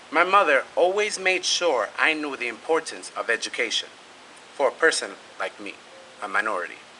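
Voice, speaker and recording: A man speaks with a Spanish accent at a moderate pace. Noticeable background noise can be heard. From New York City (East Harlem, Brooklyn). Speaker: graduating student speaker. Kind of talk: prepared speech.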